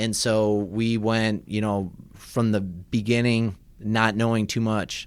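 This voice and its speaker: A man with a slight Midwestern accent speaks at a very slow pace, his fairly low pitch monotone and flat and his loudness very even. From US Midwest, Michigan. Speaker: chiropractor. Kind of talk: radio interview. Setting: radio studio.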